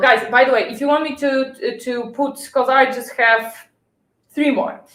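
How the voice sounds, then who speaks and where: Fairly quick speech from a woman, high in pitch. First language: not English. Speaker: health vlogger. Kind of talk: casual chat. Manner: halting.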